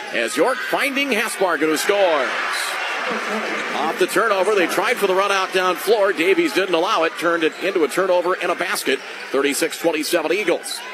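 A man speaks in a raised, projected voice with a high pitch. Noticeable background noise is present. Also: ordinary pitch variation. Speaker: radio play-by-play announcer. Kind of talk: live sports commentary. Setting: radio broadcast from the arena. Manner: fast, rapid-fire play-by-play.

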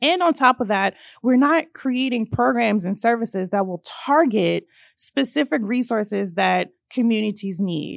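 A woman with a Virginia accent talks at a moderate pace, her pitch fairly high and her intonation lively. The recording is very clean, with a silent background. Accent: American English (Virginia). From central Virginia (Hanover County). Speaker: environmental justice organizer. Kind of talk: casual chat. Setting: studio.

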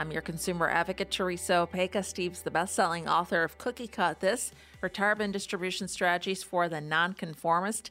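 Over music in the background, a woman with fairly low pitch and fairly even intonation talks very fast, with hardly any pauses. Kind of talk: infomercial call-to-action pitch.

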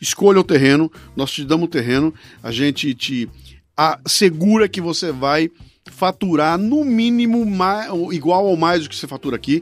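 An animated man's high-pitched voice at a moderate pace, lively intonation, in a dry, close sound with no echo and music in the background. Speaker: writer and podcast host, invited speaker. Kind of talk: casual chat.

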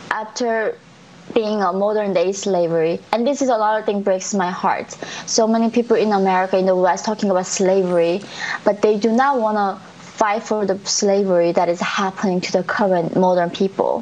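A woman with a Korean accent talks at a moderate pace, her intonation fairly even and her loudness very even. Noticeable background noise is present. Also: medium pitch for a woman. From North Korea. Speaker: defector and activist. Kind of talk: interview.

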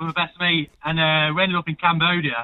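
In an English accent, a man talks at a moderate pace with a fairly high pitch. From England. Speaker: radio caller. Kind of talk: casual chat. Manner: animated.

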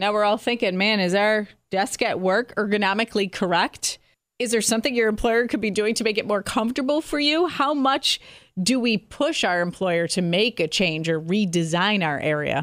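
With an unremarkable speaking voice, a woman talks at a moderate pace and fairly high pitch, her intonation lively and her loudness very even, in a very clean recording with a silent background. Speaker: radio host. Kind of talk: casual interview.

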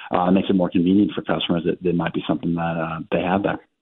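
Very fast and in a flat monotone, a man talks with a very deep, low pitch. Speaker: retail analyst. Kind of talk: radio interview, business analysis. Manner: measured, hesitant.

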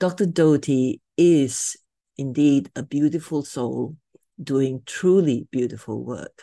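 Very slowly, a woman talks in a very deep, low pitch with a dark, mellow tone. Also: ordinary pitch variation. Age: 70s. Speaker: podcast host. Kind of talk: scripted outro; interview.

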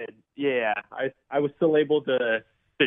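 A man speaks in a normal speaking voice at a medium pitch. His intonation is fairly even. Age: 30s. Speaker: professional MMA fighter. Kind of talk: radio interview. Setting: phone call.

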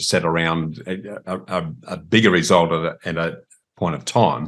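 A man with an Australian accent speaks against a quiet background. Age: older. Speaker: property podcast host interviewing. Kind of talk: interview.

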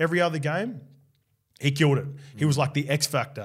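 Recorded very cleanly against a silent background, a man with a fairly high pitch and a somewhat breathy voice speaks at a very fast pace. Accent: Australian. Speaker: rugby league podcast host, former player. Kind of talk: casual sports chat.

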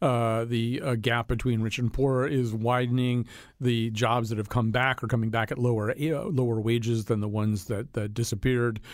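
An American-accented man talks at a moderate pace and medium pitch, with hardly any pauses. His intonation is monotone and flat, and the recording is very clean with a silent background. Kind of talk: panel discussion on politics.

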